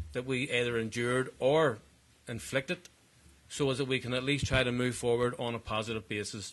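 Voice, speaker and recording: A man talks at a moderate pace and a medium pitch, his intonation fairly even. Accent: Belfast. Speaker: politician. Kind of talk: conference speech. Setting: conference panel with audience. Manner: formal.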